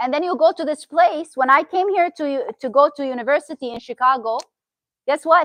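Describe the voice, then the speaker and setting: Speaking at a fairly quick pace with a Syrian accent, a woman uses a high pitch and lively intonation, recorded with a dry, close sound and no echo. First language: Arabic. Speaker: therapist. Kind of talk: talk to an audience. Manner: animated.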